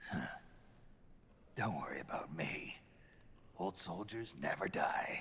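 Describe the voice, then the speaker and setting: Using a put-on character voice, a man speaks raspy and fairly low at a fairly slow pace, with long, frequent pauses and clear background noise. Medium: video game. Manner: gruff, terse.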